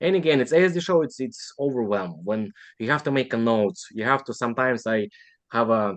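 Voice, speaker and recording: Against a quiet background, a man with a non-native accent speaks at a medium pitch and a fairly quick pace, his intonation lively. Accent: foreign. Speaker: online seller. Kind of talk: casual interview.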